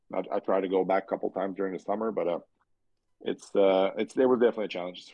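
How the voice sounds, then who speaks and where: A man speaks with a French accent. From Quebec, Canada. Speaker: race car driver. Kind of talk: podcast interview. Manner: halting, many fillers and repeats.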